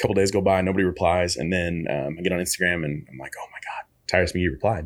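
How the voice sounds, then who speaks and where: A man talks at a very fast pace in a very deep, low voice with ordinary pitch variation. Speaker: former college basketball player and coach. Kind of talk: casual interview chat.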